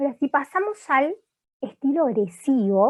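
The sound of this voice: A woman's high-pitched voice at a moderate pace with big pitch swings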